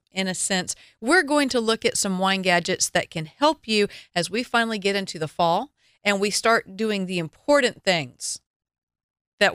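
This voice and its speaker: In a very clean recording with a silent background and a dry, close sound with no echo, the speaker talks at a moderate pace with a Southern US accent and lively intonation. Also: woman. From US South. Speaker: wine radio show host. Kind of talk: casual radio talk and interview. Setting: studio.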